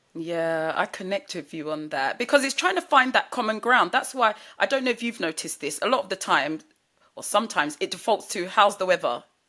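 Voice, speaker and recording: On a very clean recording with a silent background, a woman with a British accent speaks fairly quickly at medium pitch, her bright, sharp tone marked by very wide pitch swings and big swings in loudness. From UK. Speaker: podcast host. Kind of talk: interview.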